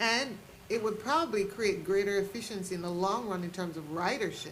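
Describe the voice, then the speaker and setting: A woman's medium-pitched voice at a fairly quick pace, with ordinary pitch variation and audible room echo. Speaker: oversight board member. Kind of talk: public meeting discussion. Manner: loud.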